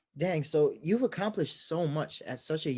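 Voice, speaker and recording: An unremarkable speaking voice from a man with an American accent, lively intonation and a fairly quick pace against a quiet background. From New York. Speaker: podcast host. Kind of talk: podcast interview.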